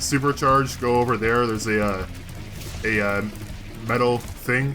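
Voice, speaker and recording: A man at a medium pitch with fairly even intonation and a fairly slow pace, amid audible room echo and music in the background. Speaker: gaming video host. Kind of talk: casual chat over gameplay.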